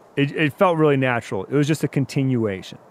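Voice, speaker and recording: In a plain, everyday voice, a man speaks at medium pitch with lively intonation. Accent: American. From Wisconsin, US. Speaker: outdoor media hunter. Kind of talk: storytelling.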